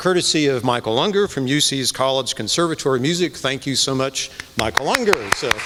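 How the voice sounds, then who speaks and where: Noticeable background noise sits under the recording. A man speaks with lively intonation. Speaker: church committee chair. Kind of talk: speech introducing a concert. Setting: church with live audience.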